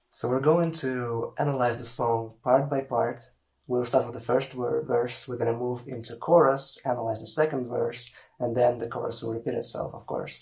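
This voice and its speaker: In a Russian accent, a man with a medium pitch speaks at a moderate pace with monotone, flat intonation. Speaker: language teacher. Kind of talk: tutorial.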